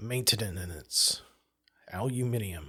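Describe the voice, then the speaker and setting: A man puts on a character voice with an English accent. His pitch sits fairly low. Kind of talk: prim, precise pronunciation.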